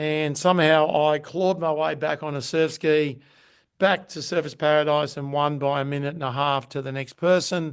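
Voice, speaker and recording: With an Australian accent, a man speaks in a monotone, flat way at a moderate pace and a fairly high pitch, with a quiet background. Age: 60s. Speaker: Ironman champion and performance coach. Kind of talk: podcast interview. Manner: halting.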